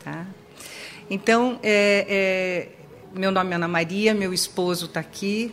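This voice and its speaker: A woman speaks at a very slow pace and medium pitch, with long, frequent pauses. Noticeable background noise runs behind her. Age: 60s. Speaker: psychologist. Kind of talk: sermon. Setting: church with audience.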